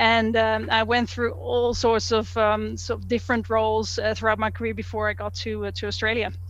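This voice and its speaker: A woman with a Dutch accent, with hardly any pauses. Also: fairly quick pace. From Netherlands. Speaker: engineering manager at a refinery. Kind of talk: interview. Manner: halting.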